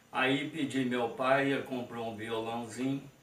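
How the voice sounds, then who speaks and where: There is noticeable background noise and audible room echo. Through it, a man speaks at a medium pitch. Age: 60s. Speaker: sertaneja musician and farm worker. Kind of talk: interview testimony. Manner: halting.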